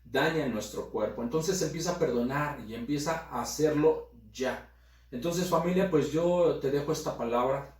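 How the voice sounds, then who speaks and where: Amid noticeable background noise and audible room echo, a fairly high-pitched man talks at a moderate pace. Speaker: pastor. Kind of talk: sermon. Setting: recorded video broadcast.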